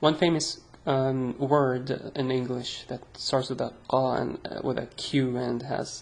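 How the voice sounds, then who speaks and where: A woman's very deep, low voice, fairly slow and monotone, over noticeable background noise. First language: Arabic. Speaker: Arabic language teacher. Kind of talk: tutorial. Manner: casual, hesitant with fillers.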